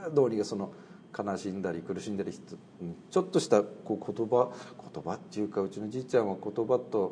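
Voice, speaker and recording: A man talks fairly quickly in an ordinary speaking voice, his fairly low pitch moving with ordinary variation. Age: 30s. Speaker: Buddhist priest. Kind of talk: casual interview.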